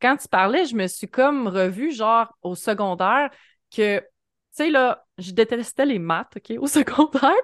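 Against a quiet background, a woman talks at a fairly slow pace with lively intonation. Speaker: podcast host. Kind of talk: casual interview chat.

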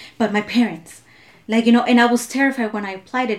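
With noticeable background noise behind her, a woman with a fairly high pitch talks at a very fast pace and fairly even intonation. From Southern California (came from Mexico at five). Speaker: immigrant rights activist. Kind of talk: casual chat.

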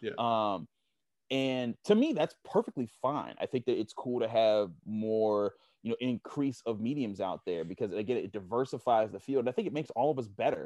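A man with an American accent speaks at a moderate pace in an ordinary speaking voice, medium in pitch with ordinary pitch variation. The sound is dry and close with no echo, against a quiet background. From Pittsburgh, Pennsylvania. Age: 30s. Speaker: football analyst. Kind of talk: casual interview.

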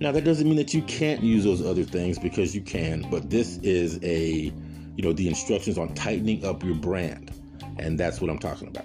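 Music plays in the background as a man speaks at a moderate pace. His very deep, low pitch carries lively intonation. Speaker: podcast host; former radio broadcaster, media professional. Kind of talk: casual, conversational instruction.

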